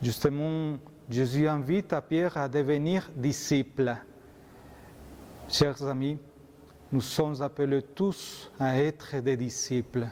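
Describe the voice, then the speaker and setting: A man with a Colombian accent and a dark, mellow tone, fairly even intonation, a very slow pace and long, frequent pauses. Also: fairly high pitch for a man. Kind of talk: homily.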